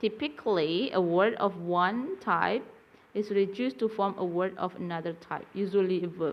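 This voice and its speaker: Medium-pitched speech from a woman with an Indonesian accent, at a moderate pace with ordinary pitch variation. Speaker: university lecturer. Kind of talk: lecture. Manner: halting.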